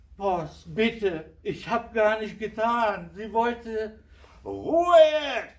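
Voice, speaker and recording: This man's voice is high-pitched, with lively intonation and big swings in loudness. He speaks at a very slow pace. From Syria. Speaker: storyteller. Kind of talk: live storytelling performance of a fable.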